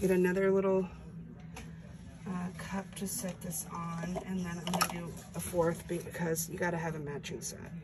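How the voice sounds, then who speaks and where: Her pitch is fairly low and her intonation monotone and flat, at a moderate pace. The woman's recording carries audible room echo and noticeable background noise. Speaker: acrylic pour artist. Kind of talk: tutorial.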